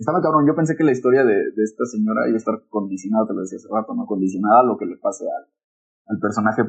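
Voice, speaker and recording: Speaking very quickly, the man has a medium pitch and ordinary variation in pitch. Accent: Mexican. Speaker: podcast co-host. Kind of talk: casual chat. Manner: loud; animated.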